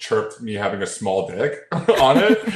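A man with a Canadian accent has an unremarkable speaking voice, a medium pitch and lively intonation. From Toronto, Canada. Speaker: social media content creator. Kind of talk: casual chat.

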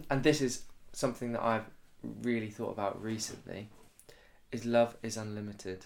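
Bright and sharp in tone, a man of medium pitch speaks with big swings in loudness and long, frequent pauses. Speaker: actor. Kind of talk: casual chat.

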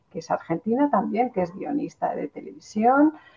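A woman speaks with a Spanish accent. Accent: Spanish (Spain). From Spain. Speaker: cultural manager and researcher. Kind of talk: interview.

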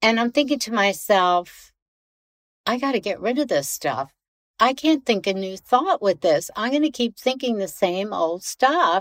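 At a fairly slow pace, a woman speaks with a fairly high pitch and very wide pitch swings. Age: 70s. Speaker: fashion designer. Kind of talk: interview.

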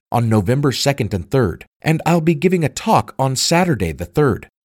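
An ordinary speaking voice at a moderate pace, in a dry, close sound with no echo. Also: man, very clean recording, silent background. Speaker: podcast host and history teacher. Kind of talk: true-crime mystery narration. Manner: formal, scripted and well-enunciated.

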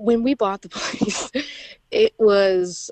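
A woman speaks with a Midwestern American accent. Her pitch varies in an ordinary way. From Indiana, near Chicago. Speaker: army veteran and small farm owner. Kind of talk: interview.

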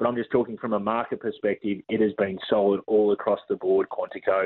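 Pitched fairly low, a man talks in an Australian accent. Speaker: racing analyst. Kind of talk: casual racing chat.

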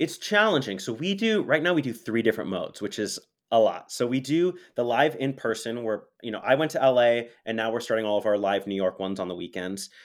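With an American accent and a medium pitch, a man talks at a fairly quick pace in an energetic tone, with lively intonation and hardly any pauses. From US West Coast, Los Angeles. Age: young. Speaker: college theater program director and teacher. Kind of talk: casual interview. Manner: halting with repeated words.

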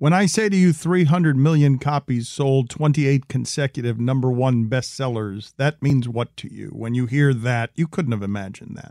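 A man uses a normal speaking voice at medium pitch with ordinary pitch variation and big swings in loudness, hardly any pauses. The sound is dry and close with no echo, a very clean recording with a silent background. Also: moderate pace. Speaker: interviewer. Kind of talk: interview.

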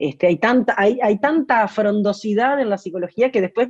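A woman speaks at a moderate pace in a medium pitch, her intonation lively. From Uruguay. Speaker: singer-songwriter. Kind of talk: interview. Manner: halting, with frequent repetitions.

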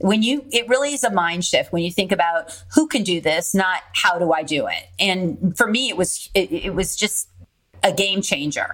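A woman with an American accent speaks at a moderate pace and medium pitch. She has an unremarkable speaking voice with lively intonation. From California. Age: 20s. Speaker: real estate investor. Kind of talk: interview.

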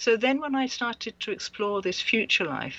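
This woman's pitch is fairly high. It varies in an ordinary way. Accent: English. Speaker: author and past life researcher. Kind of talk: interview. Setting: Skype call.

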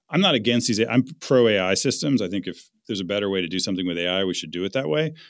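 With hardly any pauses, a man with an ordinary speaking voice talks at a fairly low pitch and lively intonation on a very clean recording with a silent background. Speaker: author and venture investor. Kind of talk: interview.

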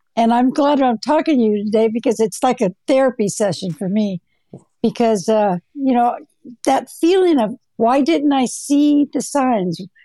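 With an American accent, a woman speaks at a high pitch in a dark, mellow tone, her intonation lively and her loudness very even. The sound is dry and close with no echo, over a quiet background. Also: moderate pace. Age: 70s. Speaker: retired counselor, January 6 defendant. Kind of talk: interview.

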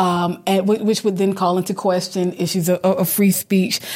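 Recorded very cleanly against a silent background, a woman speaks in a medium pitch. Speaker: English department faculty co-host. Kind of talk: casual panel chat. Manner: animated, joking.

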